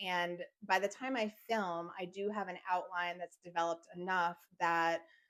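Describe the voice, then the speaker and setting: A woman at a moderate pace, with fairly even intonation. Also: fairly low pitch for a woman. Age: 40s. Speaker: lifestyle vlogger. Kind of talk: personal vlog monologue. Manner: frequent fillers like um and like; sometimes stumbles over words.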